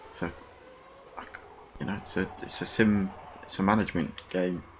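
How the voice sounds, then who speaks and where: With a British accent, a man speaks at a moderate pace in a very deep, low voice over noticeable background noise. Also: fairly even intonation. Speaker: gaming YouTuber. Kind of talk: video game review. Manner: casual, halting with repetitions.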